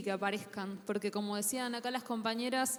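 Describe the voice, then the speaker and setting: Noticeable background noise sits behind this woman's fairly high voice. She talks at a fairly quick pace with fairly even intonation. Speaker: writer and panelist. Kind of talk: panel talk.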